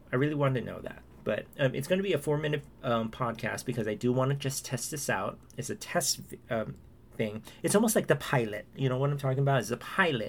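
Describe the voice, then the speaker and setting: At a very fast pace, a man speaks in a somewhat breathy voice of medium pitch with ordinary pitch variation. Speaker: podcaster. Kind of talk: casual solo chat. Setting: home recording, late at night. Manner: rambling, hesitant, chatty.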